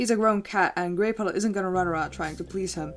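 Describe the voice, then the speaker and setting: With music in the background, a woman speaks at a very fast pace. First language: not English. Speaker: YouTuber / artist. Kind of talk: casual game commentary narration. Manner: slight stutter at times.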